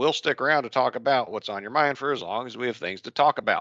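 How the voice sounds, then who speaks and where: A man's bright, sharp tone comes through against a quiet background. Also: dry sound with no echo. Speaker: contracting instructor. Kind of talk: lecture. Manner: casual. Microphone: video call.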